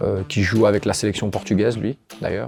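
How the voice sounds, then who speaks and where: The man's pitch is fairly low and his pace fairly quick. His intonation remains fairly even. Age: 30s. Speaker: office employee. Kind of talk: interview. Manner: hesitant, many fillers.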